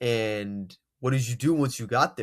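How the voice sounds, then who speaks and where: Pitched in the medium range, a man's voice shows ordinary pitch variation. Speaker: motivational speaker. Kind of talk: unscripted motivational talk to camera.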